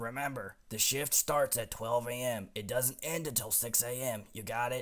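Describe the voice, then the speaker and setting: Putting on a raspy character voice, a man talks at a moderate pace and medium pitch with fairly even intonation. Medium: read story. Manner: curt, slightly menacing.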